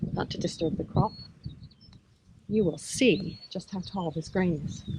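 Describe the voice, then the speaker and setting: Against noticeable background noise, a woman with a medium pitch speaks at a fairly slow pace with ordinary pitch variation. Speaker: psychologist and professor. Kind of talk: walking vlog talk to camera. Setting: outdoors. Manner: inviting, approachable storytelling.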